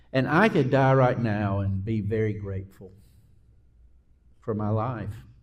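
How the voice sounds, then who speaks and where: A man with a Southern US accent talks at a fairly slow pace. His pitch is medium, with ordinary variation. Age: 60s. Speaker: pastor. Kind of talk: casual interview chat.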